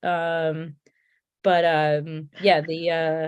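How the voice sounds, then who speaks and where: A woman speaks with a Connecticut accent. The background is quiet. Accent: Connecticut accent, stretched A's. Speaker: beer tour host. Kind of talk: casual chat. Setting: live stream.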